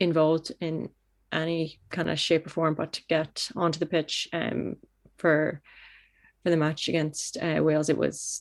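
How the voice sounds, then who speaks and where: A woman with a very deep, low voice speaks in a monotone, flat way at a moderate pace against a quiet background. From Canada. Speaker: football goalkeeper. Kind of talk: interview. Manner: halting, many fillers.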